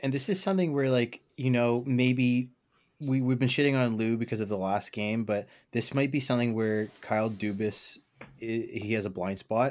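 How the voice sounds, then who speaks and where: A man talks at a moderate pace in an ordinary speaking voice, at medium pitch with ordinary pitch variation. The recording is very clean, with a silent background. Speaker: co-host. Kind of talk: casual sports chat.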